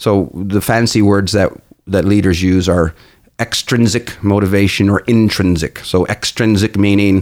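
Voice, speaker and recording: In a Canadian accent, a man speaks at a moderate pace in an ordinary speaking voice, fairly low in pitch with ordinary pitch variation. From Newfoundland, Canada. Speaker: business coach. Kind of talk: interview.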